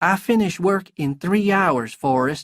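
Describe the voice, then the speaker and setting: Doing a put-on character voice, a man talks at high pitch. His intonation is lively. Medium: read story.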